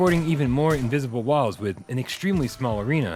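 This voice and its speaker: Music plays in the background. Over it, a man talks at a very fast pace in a medium pitch. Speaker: video game reviewer. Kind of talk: game review voice-over.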